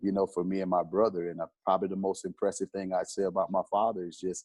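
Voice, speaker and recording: A man speaks with a very deep, low pitch and a flat, monotone delivery. The sound is dry and close, with no echo. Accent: Southern US. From US South, South Carolina. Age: 40s. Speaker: football coach. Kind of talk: interview. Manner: conversational.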